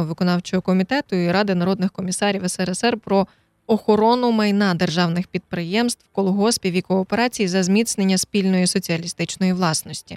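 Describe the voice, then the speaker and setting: It is an ordinary speaking voice. The pace is fairly quick, with ordinary pitch variation. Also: woman, dry, close sound with no echo. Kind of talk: history documentary narration. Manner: solemn, grave, measured; formal, steady informative delivery.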